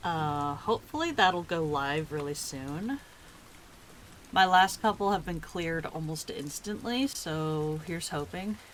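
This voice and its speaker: At a fairly slow speed, the voice comes out soft-spoken. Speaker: streamer and artist. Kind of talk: casual live stream chat. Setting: live stream. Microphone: adjusted mic settings, may be too quiet.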